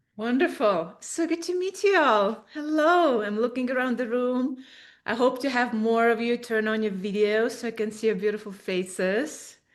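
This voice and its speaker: A woman speaks at a fairly high pitch with an Estonian accent. Her intonation is lively and her pace moderate. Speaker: spiritual coach and author. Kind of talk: webinar presentation. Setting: in-person room streamed as webinar.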